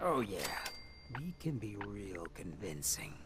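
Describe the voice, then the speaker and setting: Using a put-on character voice, a man speaks fairly slowly at a fairly low pitch amid clear background noise. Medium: game stream. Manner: dry, sarcastic.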